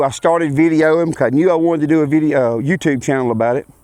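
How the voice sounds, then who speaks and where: A man talks with a Louisiana accent and fairly even intonation. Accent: US Southern (Louisiana). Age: 40s. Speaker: racing vlogger and farmer. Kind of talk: casual vlog introduction. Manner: halting, with many fillers.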